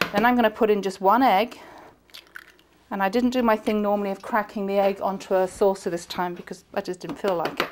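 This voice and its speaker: Over noticeable background noise, the speaker talks fairly quickly with an English accent and fairly even intonation. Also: woman, medium pitch for a woman. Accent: very English. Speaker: TV chef and cooking teacher. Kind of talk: cooking tutorial. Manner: chatty.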